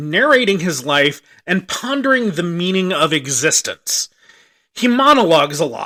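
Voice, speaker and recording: In a very clean recording with a silent background, a man speaks fairly slowly with a bright, sharp tone and lively intonation. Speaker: movie reviewer. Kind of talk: comedic bad-movie review narration. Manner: sarcastic.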